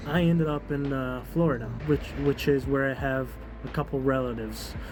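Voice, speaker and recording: With a slight European accent, a man talks at a fairly quick pace. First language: non-English European language. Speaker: vlogger. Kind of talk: personal testimony. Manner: casual, halting with many fillers.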